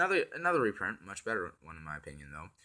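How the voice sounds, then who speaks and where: A man talks with a bright, sharp tone. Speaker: card game YouTuber. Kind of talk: card spoiler review. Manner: halting, many fillers.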